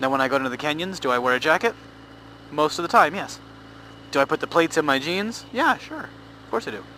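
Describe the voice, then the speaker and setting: A man talks at a very fast pace yet leaves long, frequent pauses, with noticeable background noise behind him. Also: fairly high pitch for a man, lively intonation. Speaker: motorcycle vlogger. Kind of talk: casual vlog monologue. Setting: riding a motorcycle, helmet mic.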